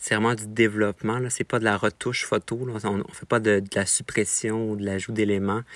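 A man with a fairly low voice and a bright, sharp tone talks at a moderate pace. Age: 20s. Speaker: photographer. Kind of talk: personal reflection narration. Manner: hesitant, with frequent fillers.

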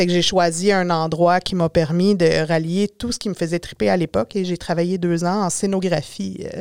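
A woman's ordinary speaking voice at a fairly low pitch, moderate pace and fairly even intonation, with hardly any pauses, in a dry, close sound with no echo. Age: 40s. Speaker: drafting technician and communications business owner. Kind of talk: podcast interview.

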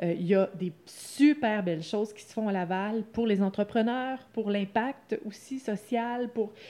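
A woman's fairly high-pitched, dark, mellow voice with ordinary pitch variation, big swings in loudness and a very slow pace. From Quebec, Lanaudière. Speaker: co-founder of a coworking space. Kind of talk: interview.

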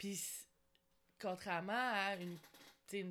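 This woman speaks with a Quebec accent. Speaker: podcast host. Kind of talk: interview.

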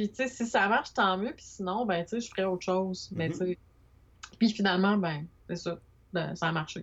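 A somewhat breathy woman's voice in a Quebec accent, medium in pitch with ordinary pitch variation, at a moderate pace with long, frequent pauses and big swings in loudness. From Quebec, Montreal. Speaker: illustrator. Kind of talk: casual interview. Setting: video call.

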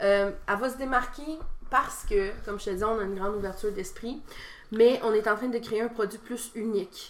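A woman with a normal speaking voice talks at a moderate pace. Her pitch is fairly high and her intonation fairly even. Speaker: wrestling promoter and wrestler. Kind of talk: casual interview.

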